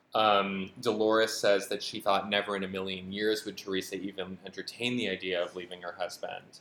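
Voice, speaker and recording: In an American accent, a man talks at a fairly quick pace with monotone, flat intonation. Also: very clean recording, silent background. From Western Massachusetts. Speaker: podcast co-host, social scientist. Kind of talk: casual chat.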